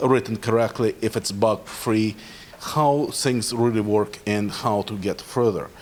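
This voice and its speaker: This man, with a Russian accent, talks at a fairly slow pace in a medium pitch and fairly even intonation. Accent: Russian-speaker. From Ukraine. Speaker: cybersecurity professional. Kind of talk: conference talk. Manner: halting, many fillers.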